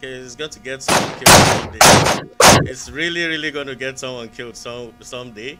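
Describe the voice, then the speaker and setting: Over background music, a man with a Nigerian accent talks at a medium pitch. His pace is fairly quick, with fairly even intonation and hardly any pauses. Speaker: caller. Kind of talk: casual chat. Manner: halting.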